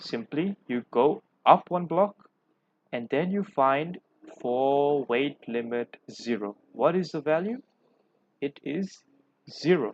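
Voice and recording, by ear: Speaking slowly, a man with a fairly high voice uses lively intonation in a dry, close sound with no echo.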